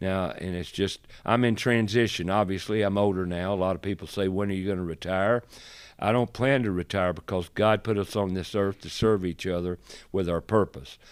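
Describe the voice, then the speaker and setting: A man's very deep, low voice with a North Carolina accent, fairly even intonation and a moderate pace, on a very clean recording with a silent background. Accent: Southern US (North Carolina). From US South. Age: 70s. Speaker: radio host and remodeler. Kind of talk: podcast interview.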